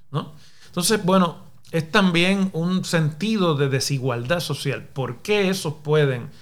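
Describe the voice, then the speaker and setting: A man with a Puerto Rican accent speaks very slowly at a fairly high pitch, with ordinary pitch variation. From Puerto Rico, Mayagüez. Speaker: professor and political podcaster. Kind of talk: solo commentary podcast. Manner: formal.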